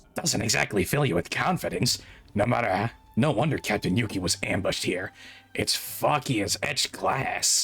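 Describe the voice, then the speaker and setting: A man puts on a raspy character voice at a medium pitch, with lively intonation and a moderate pace. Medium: virtual streamer. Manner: terse, guarded.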